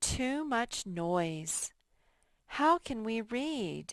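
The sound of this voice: A put-on character voice, female-sounding and fairly high in pitch, on a very clean recording with a silent background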